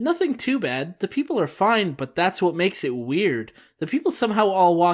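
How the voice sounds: The clip carries a natural reading voice.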